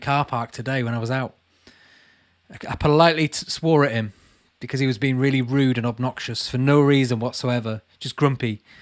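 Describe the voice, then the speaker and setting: Speaking at a fairly quick pace with a Lancashire accent, a man uses a medium pitch and fairly even intonation. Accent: Burnley. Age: 30s. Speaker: YouTuber and urban explorer. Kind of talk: live Q&A chat reading viewer comments. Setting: livestream from home.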